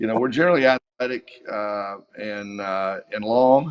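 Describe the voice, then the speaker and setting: Here a man speaks in a Kentucky Appalachian accent. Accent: Kentucky Appalachian Southern US. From eastern Kentucky, US. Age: 60s. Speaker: high school football coach. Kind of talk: interview. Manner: halting, many fillers.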